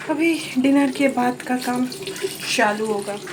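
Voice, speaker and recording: This soft-spoken voice has lively intonation, with noticeable background noise behind it. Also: woman. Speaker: vlogger. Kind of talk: casual vlog talk. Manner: slow.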